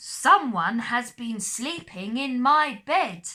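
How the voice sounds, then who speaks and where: A woman speaks very slowly in a high-pitched, growling, put-on character voice. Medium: read story.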